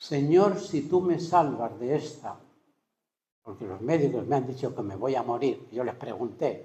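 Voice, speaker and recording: A man talks at a fairly slow pace with lively intonation and a fairly high pitch. His tone is dark, mellow and somewhat breathy, with audible room echo around it. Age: 70s. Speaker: retired pastor, preacher. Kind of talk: sermon. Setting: church service with congregation.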